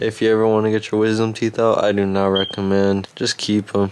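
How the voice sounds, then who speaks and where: A man's mumbling, fairly low voice in a weary tone, fairly quick and monotone, with very even loudness and light background noise. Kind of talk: casual vlog chat. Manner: weary, pained mumble lying down. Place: home room. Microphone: phone near.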